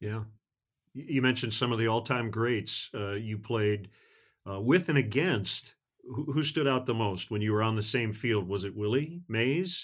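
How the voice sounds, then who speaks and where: At a medium pitch with ordinary pitch variation, a plain, everyday voice belongs to a man who talks at a fairly slow pace. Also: very clean recording, silent background. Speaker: sports broadcaster and podcast host. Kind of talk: podcast interview.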